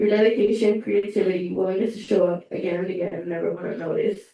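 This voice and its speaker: A woman talks at a fairly quick pace. Her voice has vocal fry. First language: Spanish. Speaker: student government officer. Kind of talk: farewell speech at meeting. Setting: student government meeting room.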